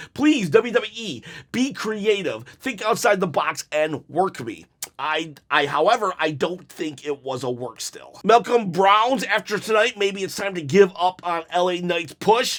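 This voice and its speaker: A man's high-pitched voice, fairly slow in pace, animated in tone and lively in intonation. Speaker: wrestling commentator. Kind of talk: casual reading and reacting to viewer comments. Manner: halting, many fillers.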